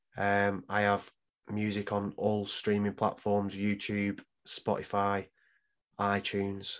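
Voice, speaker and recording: A man with a British accent and a fairly low pitch is heard in a very clean recording with a silent background. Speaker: guest co-host. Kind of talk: casual banter. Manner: hyped, energetic.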